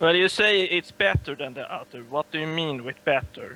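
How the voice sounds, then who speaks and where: Speaking with a non-native accent, a man uses a fairly high pitch and ordinary pitch variation at a moderate pace. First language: not English. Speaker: podcast panelist. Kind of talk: casual debate. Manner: halting.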